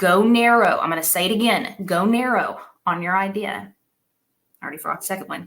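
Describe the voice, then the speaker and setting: Through audible room echo, a woman at a medium pitch speaks in an animated tone at a fairly quick pace, with ordinary pitch variation. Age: 30s. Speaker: conference speaker, business coach. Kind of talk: keynote talk.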